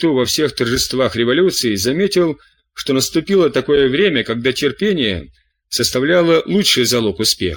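Reading aloud in a natural voice, this speaker uses lively intonation against a quiet background.

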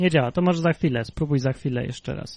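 A man speaks with lively intonation and a dark, mellow tone. The sound is dry and close, with no echo. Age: 30s. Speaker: livestream podcast host. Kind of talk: casual chat.

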